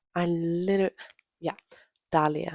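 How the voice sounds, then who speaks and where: Someone soft-spoken talks at a fairly slow pace. The sound is dry and close, with no echo. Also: woman. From Denmark. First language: Danish. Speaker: book vlogger. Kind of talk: casual chat. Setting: at home.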